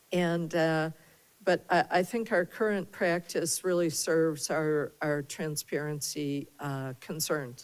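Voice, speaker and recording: Her voice is very deep and low, with ordinary pitch variation. The woman speaks at a very slow pace. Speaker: board chair. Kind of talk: public meeting discussion. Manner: hesitant, many fillers.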